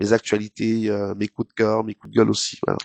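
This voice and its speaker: A man speaks at a moderate pace with a fairly low pitch. The sound is dry and close with no echo, against a quiet background. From Cameroon, Douala. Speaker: TV presenter. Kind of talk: interview. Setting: studio. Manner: hesitant, many fillers.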